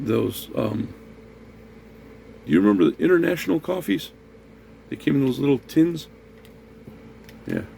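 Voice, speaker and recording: At a moderate pace, a man with a medium pitch and a dark, mellow tone speaks with vocal fry, very wide pitch swings, and long, frequent pauses. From US, raised in a Puerto Rican neighborhood. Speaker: food review vlogger. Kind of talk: casual talk to camera, food tasting.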